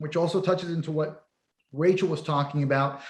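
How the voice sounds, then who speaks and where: A man with an American accent speaks in an unremarkable speaking voice, fairly high-pitched, with ordinary pitch variation. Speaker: panel moderator. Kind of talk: panel discussion.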